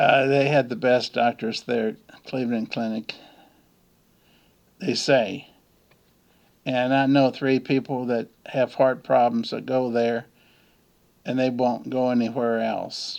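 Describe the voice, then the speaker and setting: A man talks at a very slow pace with long, frequent pauses. His pitch is medium and his intonation flat and monotone. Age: 70s. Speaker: YouTuber. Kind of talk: casual monologue. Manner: halting.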